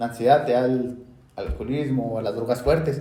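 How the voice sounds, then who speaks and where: In a Mexican accent, a man talks at a medium pitch with a dark, mellow, somewhat breathy tone and fairly even intonation, with audible room echo around him. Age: 20s. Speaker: podcast host. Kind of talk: casual chat.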